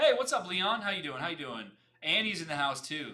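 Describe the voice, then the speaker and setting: Very wide pitch swings fill a man's speech over a quiet background. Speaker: UI/UX designer and livestream host; livestream host. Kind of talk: live stream casual chat. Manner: fast; animated. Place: home room.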